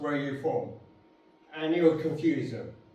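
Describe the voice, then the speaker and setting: A speaker with a London accent is heard over noticeable background noise. There is audible echo in the room. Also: man. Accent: London accent, between Cockney and posh. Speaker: public speaker. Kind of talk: speech to an audience. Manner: casual.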